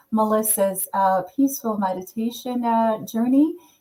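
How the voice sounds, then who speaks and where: A woman with a fairly high, somewhat breathy voice and a dark, mellow tone speaks with ordinary pitch variation. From Caribbean. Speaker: panel moderator. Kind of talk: panel discussion.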